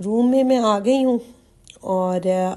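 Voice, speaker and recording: Her tone is dark and mellow. This is a woman's voice. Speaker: lifestyle vlogger. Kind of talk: vlog narration.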